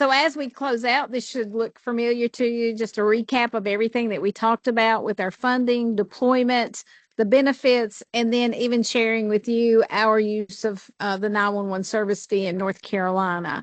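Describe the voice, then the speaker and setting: Against a quiet background with a dry, close sound and no echo, a woman with an American accent and fairly high pitch speaks in a normal speaking voice at a moderate pace, with fairly even intonation and hardly any pauses. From Appalachia, US. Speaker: state 911 official, presenter. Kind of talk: presentation at a public board meeting.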